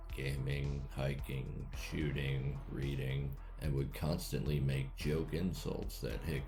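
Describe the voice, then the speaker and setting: Noticeable background noise runs under a man's very deep, low voice. He speaks very slowly with fairly even intonation. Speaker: reddit story narrator. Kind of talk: reddit story reading.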